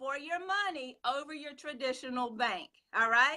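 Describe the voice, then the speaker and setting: Her raised, projected voice is high-pitched with a bright, sharp tone. This woman speaks at a moderate pace with ordinary pitch variation. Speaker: personal finance live show host. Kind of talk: live stream talk. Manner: excited, hyper.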